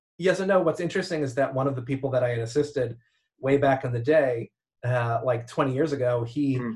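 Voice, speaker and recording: Speaking at a fairly quick pace, a man has a medium pitch and a somewhat breathy sound. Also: ordinary pitch variation. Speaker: event visualization artist. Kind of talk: casual chat.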